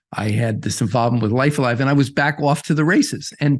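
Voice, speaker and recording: With an American accent, a man speaks at a fairly high pitch in a somewhat breathy voice. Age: 70s. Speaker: restaurant founder and investor. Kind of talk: interview. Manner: halting, many repetitions.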